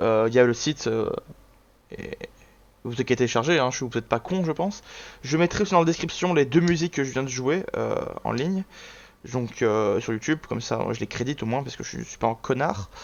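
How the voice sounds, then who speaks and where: At a fairly quick pace, a man talks with lively intonation and a medium pitch. Long, frequent pauses break up his speech. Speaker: gaming YouTuber. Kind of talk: casual video commentary. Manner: fast.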